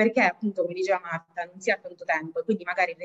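Over a quiet background, a woman speaks with an Italian accent. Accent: Italian accent when speaking English. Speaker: language school executive; webinar presenter. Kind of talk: webinar presentation. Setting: video call, sharing one computer. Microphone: video call.

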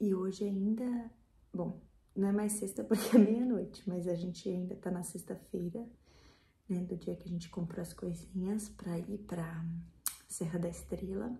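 With vocal fry and a dark, mellow tone, the voice moves at a fairly slow pace with fairly even intonation and long, frequent pauses, over light background noise and audible room echo. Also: woman, medium pitch for a woman. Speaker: vlogger. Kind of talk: casual vlog. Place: kitchen. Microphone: phone near.

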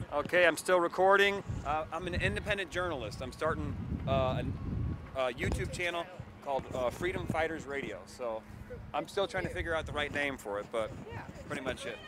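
A man talks at a fairly quick pace with lively intonation but long, frequent pauses. There is noticeable background noise, and the sound is dry with no echo. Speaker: citizen journalist. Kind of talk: street interviews. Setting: outdoors at a protest. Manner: casual, hesitant with many fillers. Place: street. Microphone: phone near.

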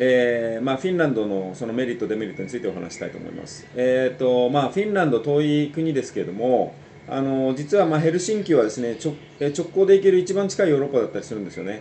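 A man speaks at a very fast pace and a medium pitch, his pitch swinging very widely and his loudness rising and falling sharply over light background noise. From Greater Tokyo area (Saitama); Japan. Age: 40s. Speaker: financial advisor YouTuber. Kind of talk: casual solo talk to camera; casual informational talk. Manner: many filler hesitations; polite formal speech. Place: home room. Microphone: webcam.

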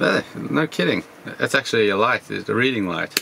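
Light background noise sits behind a man with a fairly low pitch. He has an ordinary speaking voice and fairly even intonation. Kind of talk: casual walkthrough tour. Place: car. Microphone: phone near.

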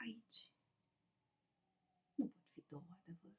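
Over a quiet background, a woman speaks with lively intonation. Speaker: poet reciting her own poem. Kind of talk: poetry reading. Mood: soft, reflective. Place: home room. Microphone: webcam.

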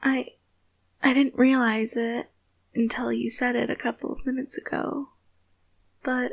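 Her speech comes at a very slow pace. The woman's voice sits high. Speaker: ASMR creator. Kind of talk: girlfriend roleplay, scripted romantic monologue. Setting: close-mic ASMR recording. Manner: intimate, tender, hushed whisper with pleading sincerity.

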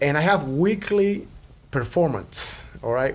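With light background noise present, a man speaks in a Cuban accent. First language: Spanish. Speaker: percussionist and entertainer; podcast guest. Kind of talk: casual interview. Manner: animated. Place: studio. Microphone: studio mic.

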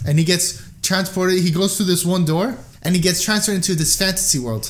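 A man with a high pitch talks in an animated tone. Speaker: podcast co-host. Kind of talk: casual chat.

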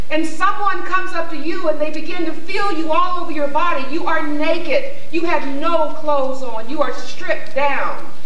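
A woman with an American accent speaks at an extremely high pitch and a moderate pace, with ordinary pitch variation and hardly any pauses. Audible room echo and light background noise are present. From US Midwest, Columbus, Ohio. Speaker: poet and playwright. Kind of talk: dramatic second-person narration immersing the audience in enslavement. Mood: grave, emotional narration. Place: stage.

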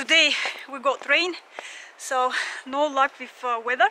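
At a fairly slow pace, the voice carries a bright, sharp tone and ordinary pitch variation. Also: woman, high pitch for a woman.

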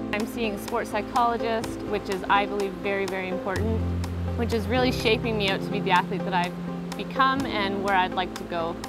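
Over loud background music, a woman talks at a fairly quick pace, and the sound is dry with no echo. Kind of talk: interview answer. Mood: positive, confident. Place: waterside.

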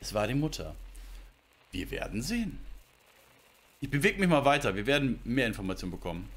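Fairly quick between long, frequent pauses, a man talks at a fairly high pitch with vocal fry and very wide pitch swings. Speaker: gaming streamer. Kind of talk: casual chat. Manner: animated. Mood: thoughtful, puzzling over the plot. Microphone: headset.

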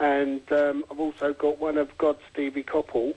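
At a fairly slow pace, a man speaks at a fairly high pitch, the sound dry and close with no echo. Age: 40s. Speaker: football fan with arthritis. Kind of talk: radio interview answer.

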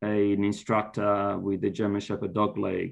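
A man with an Italian accent over a quiet background. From Italy (Florence); Italy. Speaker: university lecturer. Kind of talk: interview. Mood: relaxed, friendly. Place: home room. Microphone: video call.

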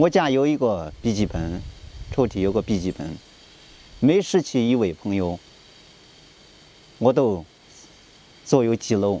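Using very wide pitch swings, a man with a Shaanxi accent speaks at a fairly slow pace with long, frequent pauses. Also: medium pitch for a man. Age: 40s. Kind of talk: personal appeal to camera.

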